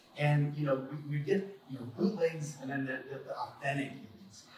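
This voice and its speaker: A fairly high-pitched male voice with a Spanish accent and ordinary pitch variation, plus audible room echo and noticeable background noise. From Mexico. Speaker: attorney and collector. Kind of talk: panel talk. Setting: convention stage with audience. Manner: halting, many repetitions.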